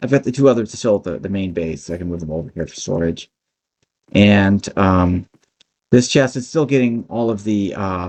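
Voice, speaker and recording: A man's fairly low voice with ordinary pitch variation and big swings in loudness. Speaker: gaming YouTuber. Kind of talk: gameplay commentary. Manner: fast; hesitant, many fillers.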